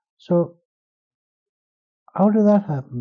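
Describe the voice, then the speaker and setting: A man at a moderate pace, somewhat breathy, with lively intonation and an Irish accent. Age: 70s. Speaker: writer and translator. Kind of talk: interview. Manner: halting.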